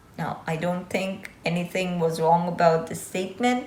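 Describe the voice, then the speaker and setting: A woman speaks with audible room echo around her. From Azerbaijan. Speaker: YouTuber. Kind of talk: vlog monologue. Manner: casual.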